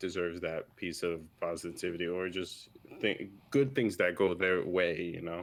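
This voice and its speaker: A man's very deep, low voice carries ordinary pitch variation. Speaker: streamer guest. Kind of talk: casual chat. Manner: stutters.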